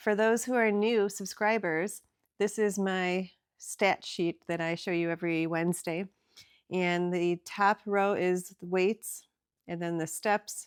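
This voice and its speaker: A woman's medium-pitched, ordinary speaking voice at a fairly slow pace with fairly even intonation, in a dry, close sound with no echo and a very clean recording with a silent background. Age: 50s. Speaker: weight loss vlogger. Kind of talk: casual video update.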